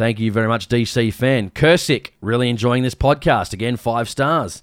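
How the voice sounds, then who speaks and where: The speaker's Australian accent comes through at a moderate pace. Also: man. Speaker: hunting podcast host. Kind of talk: casual chat.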